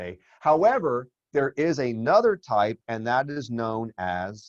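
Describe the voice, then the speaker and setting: Over a dry, close sound with no echo, a man with a medium pitch talks at a very slow pace using lively intonation. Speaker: finance teacher. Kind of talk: lecture. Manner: casual, conversational.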